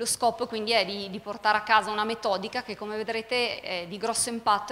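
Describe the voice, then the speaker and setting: The speaker talks at a very fast pace over light background noise. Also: woman. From northern Italy (Milan); Italy. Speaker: emergency physician, course director; course instructor. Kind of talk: conference introduction. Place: hall. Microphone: handheld.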